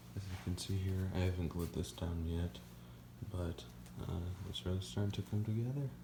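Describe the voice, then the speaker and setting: Noticeable background noise sits under a quiet voice. The speech moves at a moderate pace with lively intonation. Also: man. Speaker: hobbyist prop maker. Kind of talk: casual build vlog.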